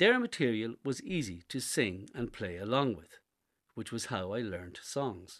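Lively intonation and big swings in loudness from a man with an Irish accent, medium pitch and a fairly slow pace, against a quiet background. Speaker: essay contributor. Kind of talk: reading aloud.

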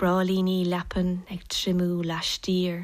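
Speaking with a Kerry accent, a woman holds a medium pitch at a very slow pace. The recording is very clean, with a silent background. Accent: Irish, Kerry. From Ireland, Tralee, County Kerry. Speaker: poet. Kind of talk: poetry reading.

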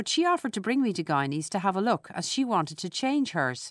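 A woman with a Dublin accent speaks at a moderate pace against a quiet background. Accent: Irish (Dublin). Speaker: essayist. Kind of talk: scripted narration.

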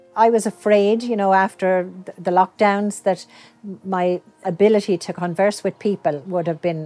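Speaking with an Irish accent, a woman keeps a medium pitch and fairly even intonation in a dry, close sound with no echo. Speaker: dance project participant. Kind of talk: interview. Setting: outdoors.

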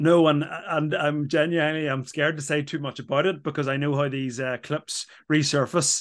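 A man with an Irish accent, fairly high in pitch, monotone and flat, at a moderate pace over a quiet background. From Ireland. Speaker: former rugby player and pundit. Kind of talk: casual chat.

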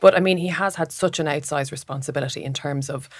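A woman with a very deep, low pitch at a very fast pace. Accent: Irish. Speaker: political reporter. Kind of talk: casual political chat. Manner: repeats words when thinking.

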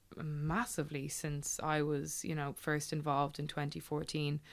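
A woman with a Dublin accent speaks in a very deep, low voice, recorded very cleanly against a silent background. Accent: Dublin Irish. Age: 20s. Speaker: Gaelic football player. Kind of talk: interview.

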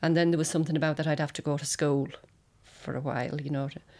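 With an Irish accent, a woman speaks in a very deep, low pitch and monotone, flat intonation, in a very clean recording with a silent background. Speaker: singer's daughter. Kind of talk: interview reminiscence.

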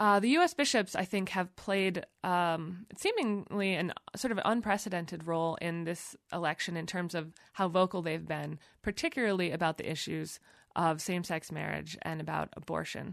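In a plain, everyday voice, a woman with an American accent speaks at a moderate pace and a fairly low pitch, with ordinary pitch variation over a quiet background. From United States. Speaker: magazine editor. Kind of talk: interview. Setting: studio.

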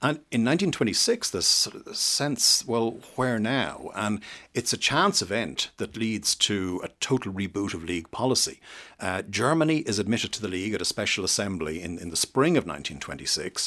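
A man with an Irish accent speaks at a fairly low pitch in a bright, sharp tone, making very wide pitch swings. The recording is very clean, with a silent background. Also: fairly quick pace. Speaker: historian. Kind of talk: radio interview.

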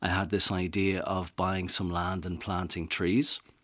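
A man with a Dublin accent speaks at a fairly slow pace on a very clean recording with a silent background. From Dublin, Ireland. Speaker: rewilding advocate and author. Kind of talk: radio interview. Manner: halting, repeats words.

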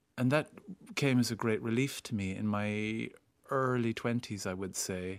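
A man with an Irish accent speaks at a medium pitch with ordinary pitch variation. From Ireland, small town. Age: 50s. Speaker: actor and screenwriter. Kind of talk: interview.

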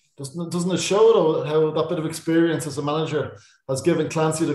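Speaking at a fairly quick pace, a man with a fairly high pitch keeps his intonation fairly even, with audible room echo around him. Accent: Dublin. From Ireland, Dublin. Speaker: sports journalist. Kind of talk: casual chat.

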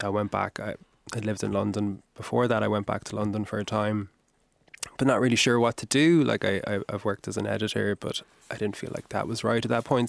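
With a Kerry accent, a man speaks fairly quickly at a fairly low pitch, with ordinary pitch variation and a dry, close sound that has no echo. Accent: Kerry Irish. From Ireland, Kerry. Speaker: novelist. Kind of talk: radio interview. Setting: radio studio.

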